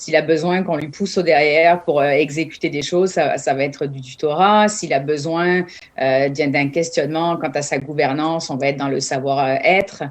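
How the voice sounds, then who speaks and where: A woman talks at a moderate pace in a very deep, low pitch. Her intonation stays fairly even. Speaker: entrepreneur, business incubator founder. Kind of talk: interview at a job fair presentation. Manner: many hesitations and filler sounds.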